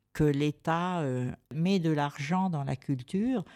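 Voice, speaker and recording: In a very deep, low voice with a dark, mellow tone, a woman speaks at a very slow pace, with a dry, close sound and no echo. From France. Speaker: cultural association representative, exhibition organiser. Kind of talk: radio interview. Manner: hesitant, many fillers and repetitions.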